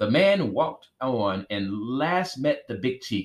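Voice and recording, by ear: A natural voice reading a passage aloud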